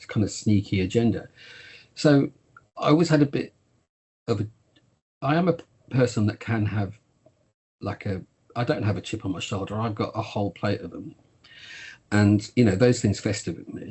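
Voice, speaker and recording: A man with a Birmingham accent and a fairly low, somewhat breathy voice talks at a moderate pace with long, frequent pauses. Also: ordinary pitch variation. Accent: regional Birmingham. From Birmingham, English West Midlands. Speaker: TV producer. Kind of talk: interview.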